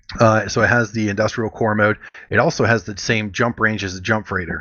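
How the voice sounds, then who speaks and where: Talking fairly quickly, a man keeps his voice at a fairly low pitch. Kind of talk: game tutorial talk, casual explanation. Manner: monotone.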